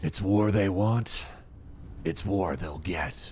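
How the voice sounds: A man does a gravelly, put-on character voice with a fairly low pitch. He speaks at a very slow pace over clear background noise.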